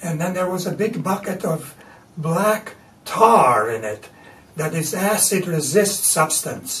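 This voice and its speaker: Over noticeable background noise, a man with a Latvian accent speaks very slowly in a high voice with very wide pitch swings. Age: 80s+. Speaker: artist. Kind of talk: interview. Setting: artist's studio.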